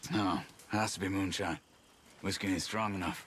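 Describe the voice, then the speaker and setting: In a put-on character voice, a man speaks raspy and fairly low at a moderate pace with fairly even intonation. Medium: video game. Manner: terse.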